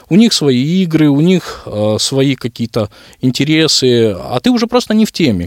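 Dry and close with no echo, this very clean recording has a silent background. A man speaks at a moderate pace in a fairly high pitch, with very wide pitch swings. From Kyrgyzstan, Bishkek. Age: 30s. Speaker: director of a social centre for the visually impaired. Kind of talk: radio interview. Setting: studio.

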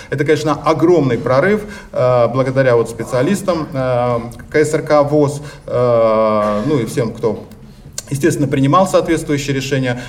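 In a room with audible echo and noticeable background noise, a man speaks fairly slowly at a fairly high pitch with very even loudness. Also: ordinary pitch variation. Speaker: organization delegate. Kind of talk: conference speech. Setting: congress hall.

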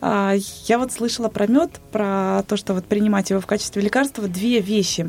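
A woman speaks at a moderate pace with hardly any pauses, her pitch medium and its variation ordinary. It is a plain, everyday voice. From Bashkortostan, Russia. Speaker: radio host. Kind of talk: casual chat on live radio. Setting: radio studio.

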